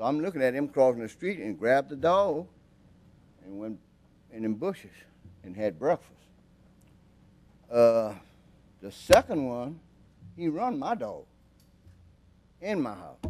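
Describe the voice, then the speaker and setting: At a moderate pace, a man of medium pitch speaks with very wide pitch swings, big swings in loudness, and long, frequent pauses. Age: 70s. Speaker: concerned resident speaking at public meeting. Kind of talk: public comment at council meeting. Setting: public committee meeting. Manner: informal, colloquial storytelling.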